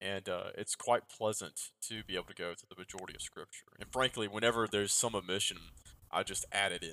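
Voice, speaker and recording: The speaker talks very fast with a Southern US accent, loudness swinging widely. The sound is dry and close with no echo. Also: man. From US South. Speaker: Anglican priest and podcast host. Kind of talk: casual conversation. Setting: remote call. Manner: fast talker.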